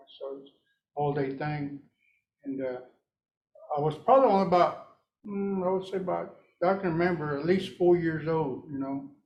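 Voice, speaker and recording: A man speaks at a moderate pace with ordinary pitch variation. There is audible echo from the room. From Oklahoma, rural Cherokee community. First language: Cherokee. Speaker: Cherokee language speaker. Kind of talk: talk to audience. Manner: halting, many fillers.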